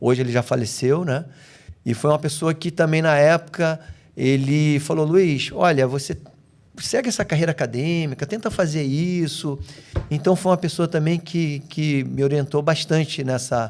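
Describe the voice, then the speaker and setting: Speaking with a Rio de Janeiro accent, a man uses a fairly high pitch with ordinary variation at a moderate pace. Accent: Rio de Janeiro (carioca). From Brazil, raised in several regions, much of it in Rio de Janeiro. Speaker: physical education professional. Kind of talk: casual chat.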